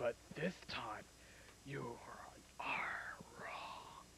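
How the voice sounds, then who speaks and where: A cartoonish character voice comes through over noticeable background noise. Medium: puppet. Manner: menacing.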